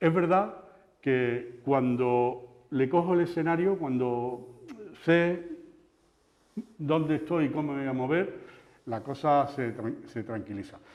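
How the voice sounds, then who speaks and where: A man with a strong Andalusian accent and a fairly high pitch speaks at a very slow pace with long, frequent pauses. His pitch variation is ordinary, and audible room echo surrounds him. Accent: Andalusian, kept strong. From Andalusia, La Luisiana (Seville province). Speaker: TV news presenter and journalist. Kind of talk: interview conversation. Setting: talk before an audience of teachers. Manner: halting, repetitive.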